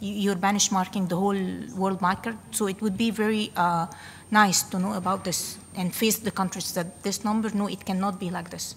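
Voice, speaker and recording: Her voice is somewhat breathy, with monotone, flat intonation. The woman speaks at a moderate pace. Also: medium pitch for a woman. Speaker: government statistics delegate. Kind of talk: workshop discussion remark.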